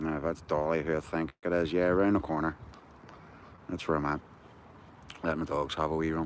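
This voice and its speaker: With a Belfast accent and a very deep, low pitch, a man talks at a fairly quick pace in monotone, flat intonation, broken by long, frequent pauses. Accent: Belfast Northern Irish. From Northern Ireland. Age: 60s. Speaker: activist livestreamer. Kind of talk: casual livestream chat. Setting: outdoors walking the dog at night.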